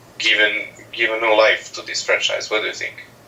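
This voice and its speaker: A man with a non-native accent is heard over noticeable background noise. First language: not English. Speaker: caller on a live stream. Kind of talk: casual chat. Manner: halting.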